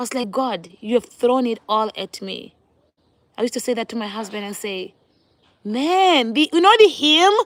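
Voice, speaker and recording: In a Botswana accent, a woman with a high pitch speaks in an animated tone with very wide pitch swings, in a dry, close sound with no echo. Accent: Botswanan English. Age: 30s. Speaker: vlogger. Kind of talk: casual chat.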